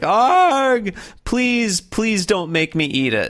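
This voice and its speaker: In a put-on character voice, a man speaks at a high pitch and a very slow pace. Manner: pleading.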